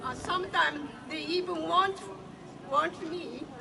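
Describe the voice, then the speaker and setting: Over crowd noise in the background, a woman speaks in a raised, projected voice at an extremely high pitch. Her pace is very slow, and her pitch variation is ordinary. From Japan. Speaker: activist, event organizer. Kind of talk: speech at a public demonstration. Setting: outdoors.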